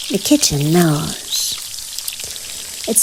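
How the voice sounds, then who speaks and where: A soft-spoken woman with a fairly low pitch talks very slowly over noticeable background noise. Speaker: author reading own story. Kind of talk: bedtime story reading.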